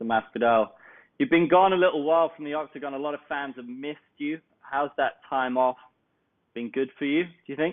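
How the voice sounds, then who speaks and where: Using a southern English accent, a man talks at a fairly quick pace in a fairly high voice, with ordinary pitch variation and big swings in loudness. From southeast England (Kent). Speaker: MMA interviewer. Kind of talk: interview.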